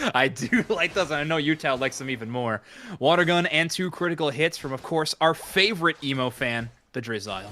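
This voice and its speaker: The voice is loud, with a bright, sharp tone and a fairly quick pace. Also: man, fairly high pitch for a man. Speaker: esports caster. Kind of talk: live commentary.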